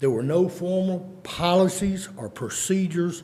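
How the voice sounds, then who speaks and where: In an East Texas accent, a man speaks in a dark, mellow tone that is somewhat breathy, with audible room echo. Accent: East Texas Southern US. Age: 60s. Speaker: private citizen speaking at public meeting. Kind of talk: public comment at county meeting. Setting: county commissioners court meeting. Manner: formal.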